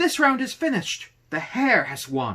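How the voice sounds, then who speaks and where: A man's put-on character voice at extremely high pitch and moderate pace. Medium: read story. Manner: officious, encouraging.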